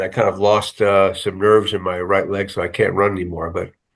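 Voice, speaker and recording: A man talks at a very fast pace, and the background is quiet. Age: 70s. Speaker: TV writer and producer. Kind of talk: interview. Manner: halting, many fillers.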